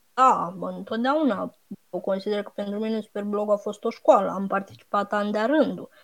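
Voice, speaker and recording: Her loudness swings widely. A woman speaks at a medium pitch and moderate pace with ordinary pitch variation. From Romania, Buzău. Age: 30s. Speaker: blogger and regional franchise director. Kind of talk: interview. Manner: halting.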